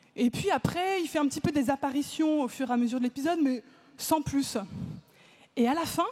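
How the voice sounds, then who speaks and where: A woman's high-pitched voice at a fairly quick pace, broken by long, frequent pauses. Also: ordinary pitch variation. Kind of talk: talk to a live audience. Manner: casual, lively.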